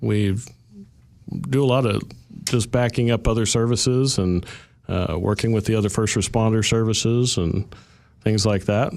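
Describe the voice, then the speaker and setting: Speaking in an Oklahoma accent, a man talks at a moderate pace and a medium pitch with fairly even intonation. The recording is very clean, with a silent background. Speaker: paramedic. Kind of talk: radio interview.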